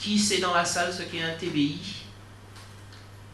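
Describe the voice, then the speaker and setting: A man's raised, projected voice at a very slow pace, lively in intonation, with audible room echo and noticeable background noise. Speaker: legal consultant, conference speaker. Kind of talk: conference talk. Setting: auditorium with audience. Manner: halting, many fillers and repetitions.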